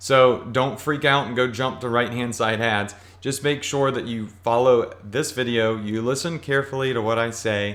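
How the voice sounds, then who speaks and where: With audible room echo, a man at a medium pitch speaks at a moderate pace with hardly any pauses. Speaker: online marketing instructor. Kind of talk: tutorial. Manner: animated.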